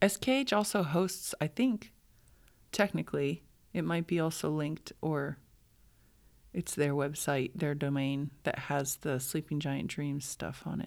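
Speaking at a fairly slow pace in a very deep, low pitch, a woman with an American accent is heard in a very clean recording with a silent background. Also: ordinary pitch variation. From US Southwest, New Mexico. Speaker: dancer and choreographer. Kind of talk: casual chat. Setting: in person at a dance school.

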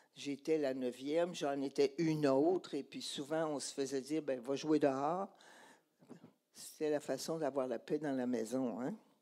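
A woman's very deep, low voice with a dark, mellow tone, a Quebec accent and fairly even intonation. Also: fairly slow pace. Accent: Québécois French. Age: 80s+. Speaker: church speaker. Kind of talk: sermon testimony.

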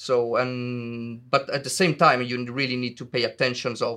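At a fairly slow pace and in a monotone, flat delivery, a voice with an Italian accent and a bright, sharp tone comes through on a very clean recording with a silent background. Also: man. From Italy. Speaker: video game lighting artist. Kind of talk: interview. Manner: halting, many fillers.

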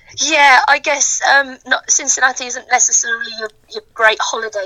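A woman with a Birmingham accent speaks in a high pitch at a moderate pace. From Birmingham, England. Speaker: sports fan guest. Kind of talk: casual interview.

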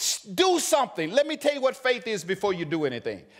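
This man's extremely high voice makes very wide pitch swings in an animated tone. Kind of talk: sermon. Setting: church with congregation. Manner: animated, urgent, call-and-response exhortation.

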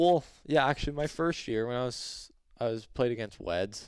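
This is a man's voice. He speaks with a Canadian accent. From western Canada (British Columbia). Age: 20s. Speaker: professional hockey player. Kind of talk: casual interview.

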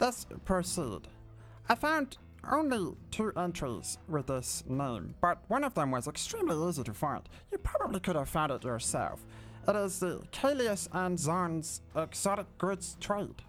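Someone uses a put-on character voice at a moderate pace. Clear music plays in the background. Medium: actual play. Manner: eager, chatty, polite, formal.

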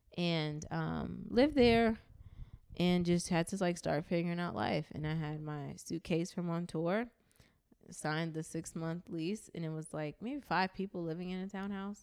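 Speaking with a New York accent, a woman uses a fairly low pitch at a moderate pace. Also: ordinary pitch variation. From Brooklyn, New York (East New York). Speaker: music industry executive. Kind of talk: casual interview. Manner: animated.

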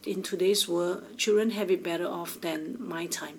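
A woman with a fairly low pitch and ordinary pitch variation is heard with audible room echo. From Singapore. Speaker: impact fund founder. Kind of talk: interview.

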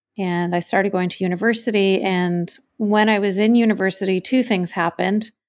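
In a Canadian accent, a woman uses an ordinary speaking voice at a medium pitch and fairly quick pace, with fairly even intonation, on a very clean recording with a silent background. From Canada. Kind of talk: interview.

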